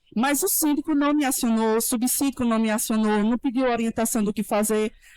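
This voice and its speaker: A woman talks at a fairly quick pace, her fairly high pitch varying in an ordinary way. The recording is very clean and silent behind her, dry and close with no echo. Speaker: lawyer. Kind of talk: panel talk. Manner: fast; animated.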